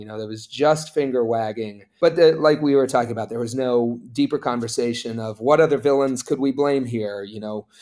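A man is heard talking with a mid-range pitch. That pitch moves up and down in a normal way. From Appalachia, West Virginia. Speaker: political activist and media creator. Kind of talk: interview conversation. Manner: hesitant with filler words.

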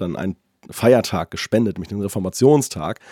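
Raspy and dark, mellow in tone, a man's fairly low voice comes through as a dry, close sound with no echo. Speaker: tech podcast co-host. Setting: remote recording, separate locations.

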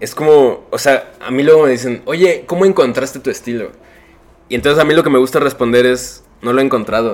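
Speaking with a Mexican accent, a man moves at a fairly quick pace with ordinary pitch variation. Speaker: illustrator. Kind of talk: casual chat.

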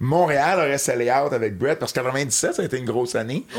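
A man speaks in an ordinary speaking voice, medium in pitch, at a moderate pace with ordinary pitch variation. The recording is very clean, with a silent background. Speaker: wrestling historian and commentator. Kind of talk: casual chat.

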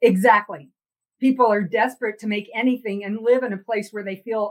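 A woman speaks with an American accent at a fairly high pitch. She has a normal speaking voice with ordinary pitch variation. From Texas. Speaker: philosophy professor. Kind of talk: interview conversation.

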